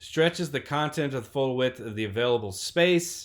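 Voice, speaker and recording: This bright, sharp voice moves at a moderate pace in a very clean recording with a silent background. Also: man. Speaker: web design instructor. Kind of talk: recorded lecture tutorial. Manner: casual, with many fillers.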